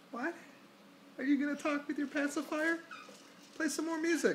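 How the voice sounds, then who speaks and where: Moderate pace over light background noise. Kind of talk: baby talk. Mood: playful, affectionate. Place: home room. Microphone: phone near.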